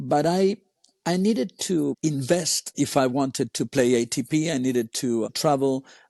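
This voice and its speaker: Speaking with an American accent, a man uses a dark, mellow tone at medium pitch with ordinary variation, in a dry, close sound with no echo. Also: quiet background. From Argentina and the US. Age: 60s. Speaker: tennis coach. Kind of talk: interview. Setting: podcast.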